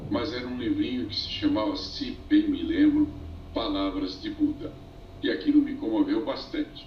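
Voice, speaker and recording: Moderately paced male speech against noticeable background noise. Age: 70s. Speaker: Buddhist teacher. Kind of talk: interview. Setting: call via cellphone. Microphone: streaming from cellphone.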